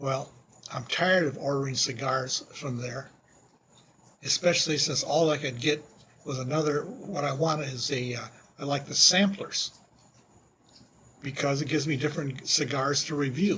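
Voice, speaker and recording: There is noticeable background noise behind a man with a fairly high pitch. He speaks with long, frequent pauses. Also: fairly even intonation, moderate pace. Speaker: cigar reviewer. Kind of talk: casual video monologue. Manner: loud.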